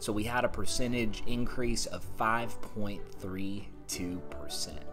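Clear music plays behind a man who speaks at a fairly slow pace and a fairly low pitch. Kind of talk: market update commentary. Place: home room. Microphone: phone near.

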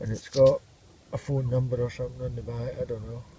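A man speaks at a moderate pace, the sound dry with no echo and light background noise behind him. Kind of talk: casual vlog commentary. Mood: pleased, relaxed. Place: beach. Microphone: phone near.

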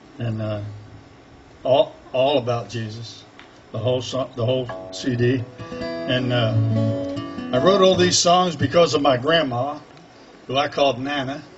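Faint music plays in the background as a man talks at a fairly slow pace with ordinary pitch variation and long, frequent pauses. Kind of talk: stage introduction between songs. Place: street. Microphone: camera far.

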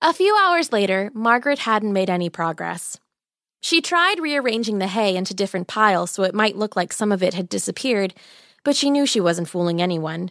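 Over a very clean recording with a silent background, a woman speaks at a fairly quick pace with a medium pitch, an animated, playful tone and lively intonation. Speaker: podcast storyteller. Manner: warm, wry storyteller.

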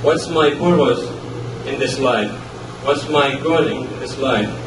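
A man talks at a fairly slow speed while noticeable noise sits in the background. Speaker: speaker. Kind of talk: sermon. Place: hall.

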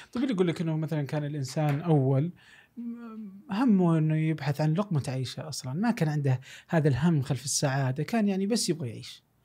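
In a dark, mellow tone, a man speaks with lively intonation. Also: fairly high pitch for a man, fairly quick pace. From Saudi Arabia. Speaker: podcast host. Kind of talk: casual chat. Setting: studio. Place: studio. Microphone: studio mic.

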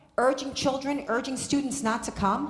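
The voice moves at a moderate pace with fairly even intonation, with audible room echo and music in the background. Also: woman. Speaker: guest. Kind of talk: impassioned public speech. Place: hall. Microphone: podium.

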